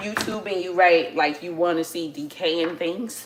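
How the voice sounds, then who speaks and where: A woman with a New York accent, medium-pitched with ordinary pitch variation, at a moderate pace amid noticeable background noise. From New York City, the Bronx. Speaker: family livestreamer. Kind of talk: casual livestream chat. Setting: at home, cooking. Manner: casual, chatty.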